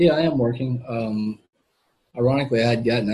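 Talking at a fairly quick pace, a man has a medium pitch with ordinary pitch variation. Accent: Southern US. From Mississippi, US South. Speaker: quadriplegic investment professional. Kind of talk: interview testimony. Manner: halting.

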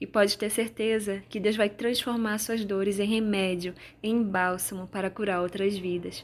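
Speaking at a moderate pace in a flat monotone, a woman with a medium-pitched voice is heard on a very clean recording with a silent background. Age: 20s. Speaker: podcaster. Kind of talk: personal testimony and devotional reflection.

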